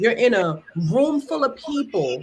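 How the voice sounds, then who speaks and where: An animated woman's voice with a Brooklyn accent. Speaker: entrepreneur and live-stream host. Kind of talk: casual chat. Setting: live stream.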